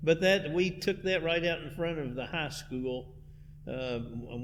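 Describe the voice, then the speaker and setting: A man's moderately paced speech, with ordinary pitch variation, carries audible room echo. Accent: American. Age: 70s. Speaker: church music director. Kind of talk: interview.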